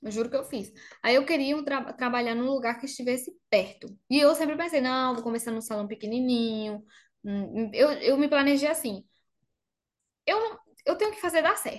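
With a Spanish accent and high pitch, a woman speaks at a moderate pace with lively intonation, big swings in loudness, and long, frequent pauses. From Argentina, Bariloche (Patagonia). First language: Spanish (speaking Portuguese). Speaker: makeup artist. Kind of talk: interview.

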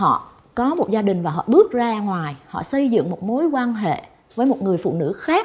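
Spoken at a moderate pace, this somewhat breathy voice swings very widely in pitch. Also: woman, fairly high pitch for a woman. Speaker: talk show guest. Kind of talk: talk show conversation.

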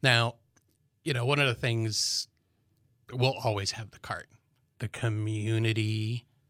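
A man with an American accent at a medium pitch, very slow pace and fairly even intonation, bright, sharp tone, dry, close sound with no echo and a very clean recording with a silent background. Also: long, frequent pauses. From US Midwest, Chicago suburbs. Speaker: army veteran and business owner. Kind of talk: casual interview.

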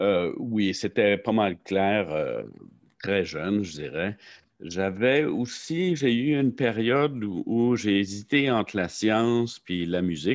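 The speech moves at a very slow pace, carried by lively intonation. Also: man, fairly low pitch for a man. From Quebec, Saint-Jean-sur-Richelieu. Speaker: professor, limnology researcher. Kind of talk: interview. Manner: halting, many fillers.

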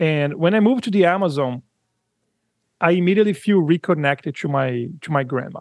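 Here a man with a Brazilian accent talks at a fairly quick pace and a high pitch, with lively intonation. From São Paulo, Brazil. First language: Portuguese. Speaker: audio company founder, musician. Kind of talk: interview conversation. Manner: halting, hesitant.

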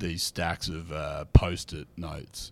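A man with an Australian accent speaks at a fairly slow pace in a very deep, low voice. The recording is very clean, with a silent background. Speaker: comedian. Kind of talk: casual chat.

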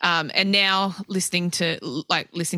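Bright and sharp in tone, a woman with an Australian accent speaks in a flat monotone on a very clean recording with a silent background. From Australia, mostly Adelaide. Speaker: guitarist and guitar tech. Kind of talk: casual interview chat.

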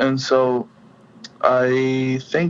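The speaker is a man with a Spanish accent. His pitch sits in the medium range. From Venezuela, Caribbean coast (Puerto La Cruz). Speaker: musician. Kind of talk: interview. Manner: halting, many fillers.

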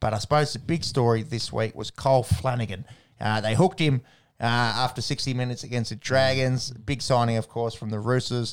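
Very clean and free of background sound, this recording has a man speaking with an Australian accent. His pitch is medium and his pace fairly quick. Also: ordinary pitch variation. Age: 30s. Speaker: sports podcast co-host. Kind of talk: casual chat.

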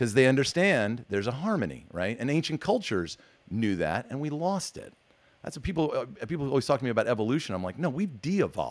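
Very fast speech in an American accent, with very wide pitch swings and vocal fry. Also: man, medium pitch for a man. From US Northeast. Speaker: podcast host. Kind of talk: casual interview chat. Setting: video call. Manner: animated.

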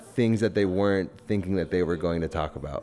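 A man's fairly low pitch with ordinary pitch variation, over noticeable background noise. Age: 20s. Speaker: podcast host. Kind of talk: casual chat.

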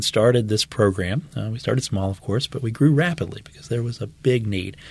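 A man's somewhat breathy voice at a medium pitch, fairly quick in pace, with lively intonation and big swings in loudness. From Louisiana (New Orleans West Bank). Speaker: medical oncologist. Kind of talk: podcast interview.

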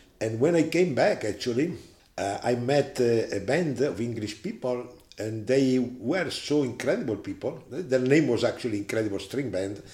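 An Italian-accented man with medium pitch talks at a moderate pace, his dark, mellow tone somewhat breathy and his intonation lively. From Italy. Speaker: management consultant and seminar lecturer. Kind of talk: interview. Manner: halting.

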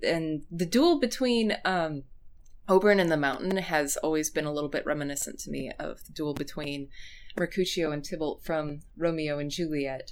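Speaking with a West Coast accent, a woman uses a very deep, low pitch and ordinary pitch variation. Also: moderate pace, big swings in loudness. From US Pacific Northwest. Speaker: fan blogger and essayist. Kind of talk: casual chat.

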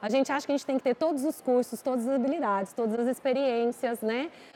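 A woman's high voice is heard against noticeable background noise. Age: 40s. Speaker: beauty company executive. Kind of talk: casual interview. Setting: restaurant with live audience.

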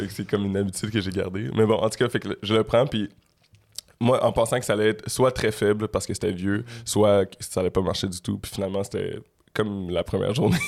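A man with an ordinary speaking voice, fairly low in pitch, with fairly even intonation at a fairly quick pace. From Quebec (Montreal area, Laval). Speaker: rapper. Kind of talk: casual interview.

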